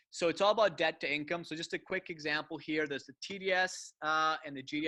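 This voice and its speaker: Against a quiet background, a man speaks at a fairly quick pace in a fairly high pitch, with fairly even intonation and a dry, close sound with no echo. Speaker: mortgage broker. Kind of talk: webinar presentation with Q&A. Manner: fast; casual.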